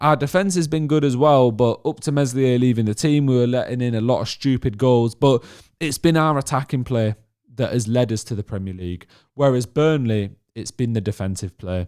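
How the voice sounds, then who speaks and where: A man with a Yorkshire accent, medium pitch, ordinary pitch variation and a fairly quick pace, in a dry, close sound with no echo. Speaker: football fan vlogger. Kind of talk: casual vlog monologue. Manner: animated.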